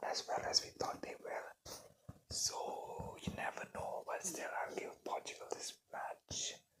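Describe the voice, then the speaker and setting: A very slow whisper fills the clip. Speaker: ASMR content creator. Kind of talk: ASMR football predictions, casual talk to camera. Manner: soft-spoken, whispered.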